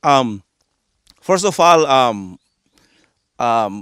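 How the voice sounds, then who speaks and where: This man speaks with a Yucatán accent. His pitch swings very widely. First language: Yucatec Maya. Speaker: coffee farmer. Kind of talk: interview. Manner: halting, many repetitions.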